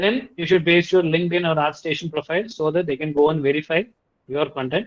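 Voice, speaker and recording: A man with a Tamil accent speaks at a high pitch and a fairly quick pace, with ordinary pitch variation. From India, Tamil-speaking region. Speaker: Unreal Engine instructor. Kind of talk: tutorial presentation. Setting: video call with screen sharing.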